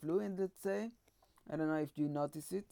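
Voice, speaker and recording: This woman has a very deep, low pitch and a non-native accent. Her pitch varies in an ordinary way. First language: not English. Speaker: YouTuber reacting to videos. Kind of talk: reaction commentary.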